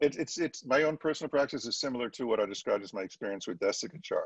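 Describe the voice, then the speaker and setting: Vocal fry runs through this very fast delivery. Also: man. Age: 60s. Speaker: yoga teacher and anatomy educator. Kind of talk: casual chat.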